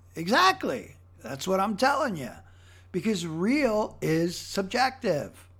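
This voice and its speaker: A man's high voice with an American accent, very wide pitch swings and a fairly slow pace, on a very clean recording with a silent background. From Philadelphia, Pennsylvania. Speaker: podcast host. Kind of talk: casual solo monologue. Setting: home recording. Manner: halting, many repeated words.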